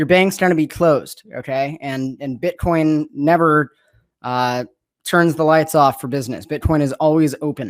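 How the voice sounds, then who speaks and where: A man with a fairly high pitch and ordinary pitch variation, on a very clean recording with a silent background. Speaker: conference speaker, bitcoin company executive. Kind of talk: conference talk. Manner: fast.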